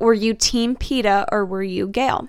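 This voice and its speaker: This is a woman with an ordinary speaking voice at a medium pitch and ordinary pitch variation. She speaks fairly slowly on a very clean recording with a silent background. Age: 20s. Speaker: nursing student. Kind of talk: casual chat. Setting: studio.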